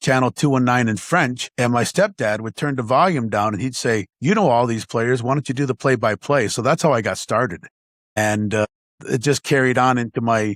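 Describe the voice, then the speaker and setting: On a very clean, dry, close recording with a silent background and no echo, a man with an American accent talks at a medium pitch and a fairly quick pace with ordinary pitch variation. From Syracuse, New York, with summers in Akwesasne. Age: 60s. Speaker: sports play-by-play broadcaster, former lacrosse goalie. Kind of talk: interview, personal story. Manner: halting, many repeated words; passionate.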